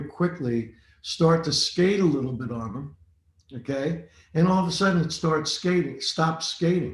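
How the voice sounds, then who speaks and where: With an ordinary speaking voice and fairly high pitch, a man delivers his words at a moderate pace, his pitch varying in an ordinary way. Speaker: racing driving instructor. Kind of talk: webinar lecture.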